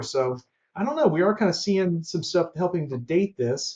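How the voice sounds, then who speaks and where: The speaker has a slight Southern US accent and ordinary pitch variation. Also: man. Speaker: collectibles dealer and YouTuber. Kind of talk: unboxing video. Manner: casual and conversational.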